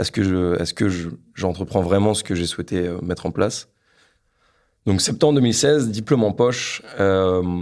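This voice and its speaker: Pitched fairly low with ordinary variation, a man speaks at a moderate pace. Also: very clean recording, silent background. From northern France, Lille. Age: 20s. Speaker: engineer entrepreneur. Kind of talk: podcast interview, personal story. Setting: his office. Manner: halting, many repetitions and fillers.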